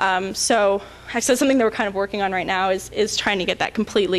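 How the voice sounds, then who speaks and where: A woman talks with a fairly high pitch. Noticeable background noise is present. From Canada, Ontario (Toronto). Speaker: conference speaker, website and webcam community runner. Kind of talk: conference talk with audience Q&A. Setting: stage with audience. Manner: casual, with many fillers and repetitions.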